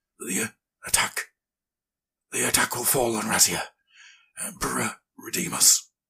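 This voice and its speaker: A raspy, put-on character voice sits at low-to-middle pitch and a moderate pace. Long pauses come often. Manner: halting, weak.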